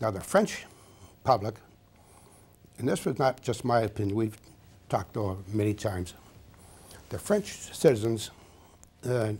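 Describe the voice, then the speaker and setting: Speaking at a moderate pace, a man uses a medium pitch and ordinary pitch variation in a dark, mellow tone that is somewhat breathy. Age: 80s+. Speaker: war veteran. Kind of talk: interview. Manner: halting.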